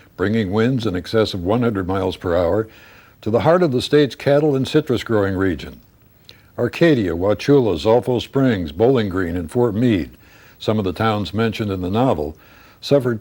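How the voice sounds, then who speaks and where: A man with a fairly low pitch and a dark, mellow tone speaks at a fairly quick pace with lively intonation, in a very clean recording with a silent background. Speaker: author reading own novel. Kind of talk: audiobook narration.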